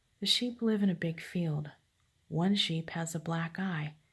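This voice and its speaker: A quiet woman speaks at a very slow pace. Her voice is somewhat breathy. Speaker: grandmother reading stories to grandchild. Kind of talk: reading aloud.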